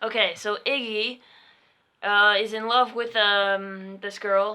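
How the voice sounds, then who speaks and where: A woman mumbling at a very slow pace, fairly high in pitch, with monotone, flat intonation. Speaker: podcast co-host. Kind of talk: casual chat. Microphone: poorly placed mic, quiet.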